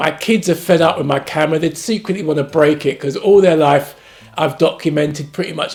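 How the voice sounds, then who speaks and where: A man's high-pitched voice in a London accent. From London, England. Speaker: actor and family YouTuber. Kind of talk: casual family vlog introduction. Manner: animated.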